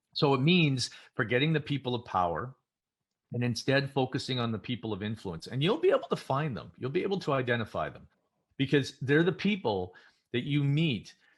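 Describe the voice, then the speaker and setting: A man's somewhat breathy, medium-pitched voice with lively intonation against a quiet background. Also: long, frequent pauses. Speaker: keynote speaker. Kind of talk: keynote speech. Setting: virtual event. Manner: fast.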